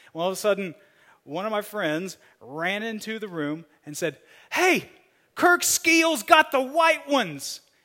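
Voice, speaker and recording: In a raised, projected voice with a bright, sharp tone, a man with a high pitch makes very wide pitch swings and big swings in loudness, talking at a fairly slow pace with long, frequent pauses in a very clean recording over a silent background. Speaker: pastor. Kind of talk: sermon.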